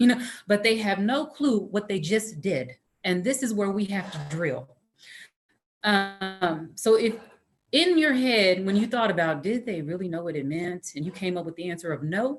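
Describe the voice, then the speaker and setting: A woman with an American accent talks in a medium pitch with lively intonation. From northern US. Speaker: career counselor and trainer. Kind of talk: presentation to teachers. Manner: fast.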